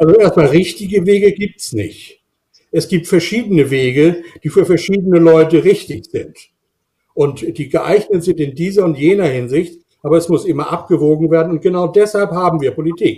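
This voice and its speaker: Over a quiet background, a man's high voice has a dark, mellow tone and ordinary pitch variation. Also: moderate pace. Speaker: climate scientist; university professor, guest. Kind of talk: panel discussion. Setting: video call. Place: home room. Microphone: webcam.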